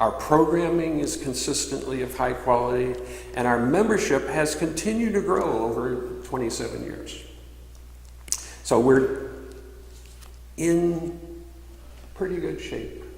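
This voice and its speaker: A man at a fairly slow pace, with long, frequent pauses, audible room echo and noticeable background noise. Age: 60s. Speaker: minister. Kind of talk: sermon. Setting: church.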